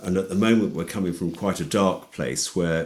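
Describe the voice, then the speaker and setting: Vocal fry marks this man's very deep, low pitch. His pitch variation is ordinary. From London, England. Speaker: organic dairy farmer and food campaigner. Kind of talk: interview conversation. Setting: remote call.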